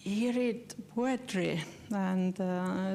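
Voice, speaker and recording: A woman with an Estonian accent has a dark, mellow tone at medium pitch and fairly even intonation, with audible room echo. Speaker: postulator of a beatification cause, lecturer. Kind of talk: lecture. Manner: halting, many fillers.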